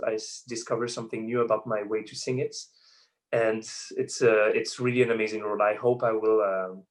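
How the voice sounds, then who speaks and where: A man with a French accent speaks very fast at medium pitch over a quiet background. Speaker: opera singer. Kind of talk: interview. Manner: halting.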